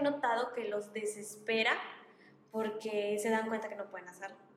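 A woman speaks with monotone, flat intonation at a fairly high pitch, with noticeable background noise and audible room echo. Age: 20s. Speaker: primary school teacher. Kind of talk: casual chat.

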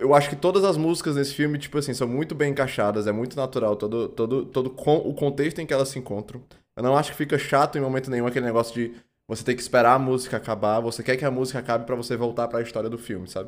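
A man at a medium pitch with ordinary pitch variation and a very fast pace, on a very clean recording with a silent background. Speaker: film podcast co-host. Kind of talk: casual chat. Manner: halting.

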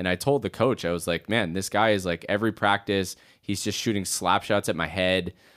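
Recorded very cleanly with a silent background and a dry, close sound with no echo, a man with an ordinary speaking voice, a fairly low pitch and a Canadian accent talks at a fairly quick pace. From Canada, Edmonton. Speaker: musician. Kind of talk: casual interview.

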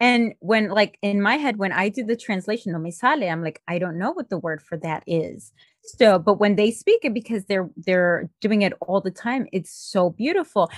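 In a Spanish accent, a woman speaks at a moderate pace and medium pitch with ordinary pitch variation, in a dry, close sound with no echo. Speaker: podcast host. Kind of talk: casual interview.

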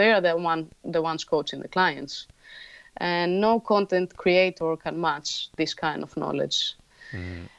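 Here a woman talks at a moderate pace. The background is quiet. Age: 30s. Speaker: gym founder. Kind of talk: interview.

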